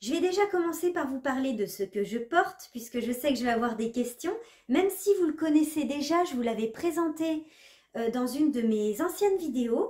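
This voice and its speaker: A woman with a dark, mellow tone speaks with very wide pitch swings. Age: 30s. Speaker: knitting vlogger. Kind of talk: casual vlog presentation.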